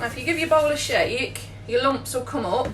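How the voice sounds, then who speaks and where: A woman speaking with an English accent keeps a moderate pace, with audible room echo and noticeable background noise. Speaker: baker. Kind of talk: tutorial. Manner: animated.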